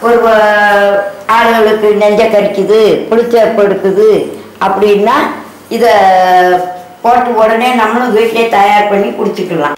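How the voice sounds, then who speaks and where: Audible room echo around a woman's fairly high-pitched voice with fairly even intonation. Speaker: home cook. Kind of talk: cooking tutorial talk. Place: kitchen. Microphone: camera far.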